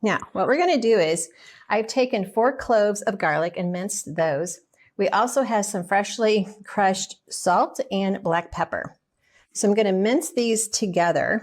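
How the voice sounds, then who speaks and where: A woman in a Southern US accent speaks at a fairly slow pace with lively intonation, on a very clean recording with a silent background. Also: medium pitch for a woman. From US South. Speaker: nutritionist and cooking teacher. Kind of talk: cooking tutorial. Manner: casual, conversational.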